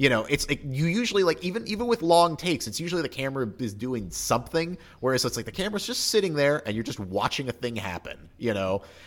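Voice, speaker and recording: Over noticeable background noise, a man with a fairly high pitch races along at a very fast pace with hardly any pauses and very wide pitch swings. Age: 30s. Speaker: podcast co-host, movie reviewer. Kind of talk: casual chat. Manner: halting, many fillers and restarts.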